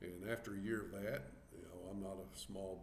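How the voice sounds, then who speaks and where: Vocal fry colors this Southern US accent, delivered at a moderate pace with ordinary pitch variation. Audible room echo surrounds the voice. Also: man. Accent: Southern US country. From US South, Arkansas. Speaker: vlogger. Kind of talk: casual chat. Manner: halting, many fillers.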